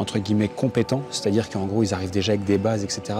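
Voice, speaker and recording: Over music in the background, a man talks at a very fast pace with a fairly low pitch and fairly even intonation. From France. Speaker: online business coach, vlogger. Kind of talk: vlog monologue. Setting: hotel. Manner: casual, with many hesitations.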